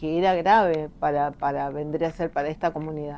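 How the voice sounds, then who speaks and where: The woman's voice has a dark, mellow tone. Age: 50s. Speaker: local resident, witness. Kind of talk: testimony.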